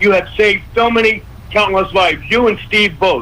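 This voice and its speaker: Over noticeable background noise, a man with an American accent and a high pitch talks at a moderate pace in a raised, projected voice. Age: 70s. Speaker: health advocate, radio guest. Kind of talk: radio interview. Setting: radio show.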